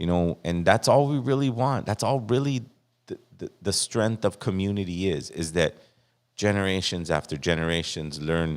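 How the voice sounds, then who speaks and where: The intonation is lively and the pace moderate. The recording is very clean, with a silent background. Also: man. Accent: American. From East Los Angeles. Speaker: podcast guest. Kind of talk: casual chat.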